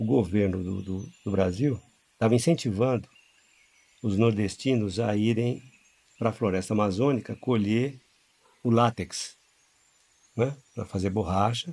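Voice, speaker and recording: A man of medium pitch talks fairly slowly with ordinary pitch variation, leaving long, frequent pauses. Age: 60s. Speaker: religious group leader. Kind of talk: storytelling interview. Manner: halting.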